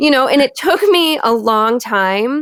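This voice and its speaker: Her speech shows very wide pitch swings as the woman talks with a Michigan accent. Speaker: podcast host. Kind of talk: casual interview chat.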